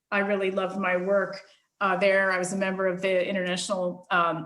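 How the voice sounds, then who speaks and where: With audible room echo, a woman speaks at a moderate pace in an American accent. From United States. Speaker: global union leader. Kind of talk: interview.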